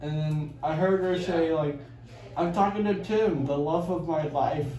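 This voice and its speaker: A man speaks at a moderate pace with fairly even intonation. Light background noise and audible room echo are present. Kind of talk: groggy rambling chat. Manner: slurred, sleepy post-surgery rambling. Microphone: phone near.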